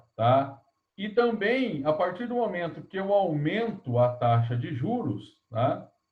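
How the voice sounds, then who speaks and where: A man's high voice swings very widely in pitch as he talks at a very slow pace. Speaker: economics lecturer. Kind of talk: online lecture. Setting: video call class.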